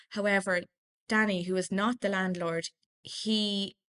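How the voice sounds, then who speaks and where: At a fairly slow pace, a woman with an Irish accent speaks at a medium pitch in a monotone, flat intonation, the sound dry and close with no echo. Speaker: political journalist. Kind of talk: casual interview.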